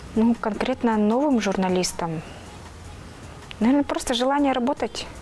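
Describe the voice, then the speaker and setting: A woman with a fairly high pitch talks at a moderate speed, her intonation lively, while noticeable background noise plays. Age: 30s. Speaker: TV news presenter and reporter. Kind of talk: interview. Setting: studio. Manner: halting.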